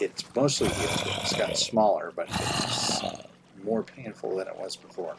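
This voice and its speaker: Someone with an American accent speaks at a moderate pace against noticeable background noise. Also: man. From Oklahoma. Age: 60s. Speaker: gaming streamer, retired English teacher. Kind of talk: casual gaming livestream commentary. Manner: rambling, hesitant with fillers.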